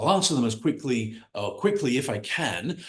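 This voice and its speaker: Somewhat breathy and fairly high in pitch, a man with an American accent talks at a fairly quick pace with very wide pitch swings. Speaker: business coach. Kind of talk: online workshop presentation. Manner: fast; enthusiastic.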